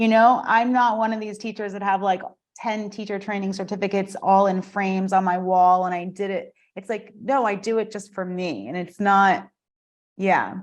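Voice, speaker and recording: A woman with a US Northeastern accent, medium pitch, fairly even intonation, and a moderate pace. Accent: US Northeast. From US Northeast (Vermont, southern New Jersey). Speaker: yoga teacher and studio owner. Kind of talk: casual chat.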